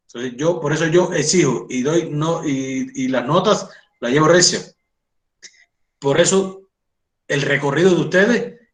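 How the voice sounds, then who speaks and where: With audible room echo, a man with a fairly high pitch talks at a moderate pace and ordinary pitch variation. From Cuba. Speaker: doctor and college lecturer. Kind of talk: lecture. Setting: online class.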